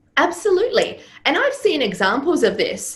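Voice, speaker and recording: In a room with audible echo, a woman talks at a moderate pace with very wide pitch swings. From Serbia. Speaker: business coach and former stage performer. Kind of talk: interview.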